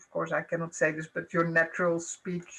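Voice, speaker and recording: With a Dutch accent, a woman speaks at a fairly low pitch. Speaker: professor. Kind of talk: panel discussion.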